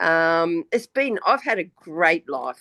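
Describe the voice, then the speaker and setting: With an Australian accent, a woman speaks at a very slow pace in a dry, close sound with no echo against a quiet background. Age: 70s. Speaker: retired banker, spiritual guest. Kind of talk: casual chat.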